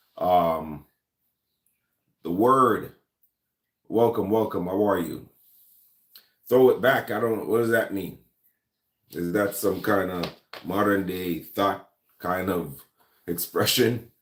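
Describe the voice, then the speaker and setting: Speaking at a very slow pace with long, frequent pauses, a man with a Jamaican accent uses a fairly low pitch and ordinary pitch variation. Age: 40s. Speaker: gun and lifestyle YouTuber. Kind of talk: casual livestream chat. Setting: live stream. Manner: hesitant, many fillers.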